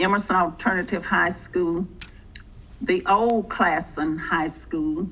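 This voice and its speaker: A woman speaks at a very slow pace in a medium pitch. Her pitch varies in an ordinary way. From Oklahoma, Spencer. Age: 70s. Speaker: retired school principal and civil rights participant. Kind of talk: talk to an adult education group.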